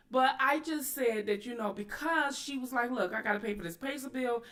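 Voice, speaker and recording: With noticeable background noise behind her, a woman talks in a fairly high pitch with lively intonation. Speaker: YouTube commentary host. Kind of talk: livestream commentary. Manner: loud; aggressive tone.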